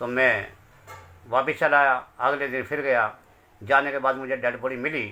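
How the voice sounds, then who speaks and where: Flat, monotone speech from a man at medium pitch. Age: 60s. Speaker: bereaved father. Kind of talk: testimony.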